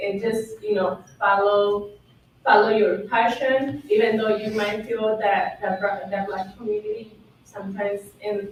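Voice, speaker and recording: A woman with a non-native accent and medium pitch, amid noticeable background noise and audible room echo. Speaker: panelist. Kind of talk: panel discussion.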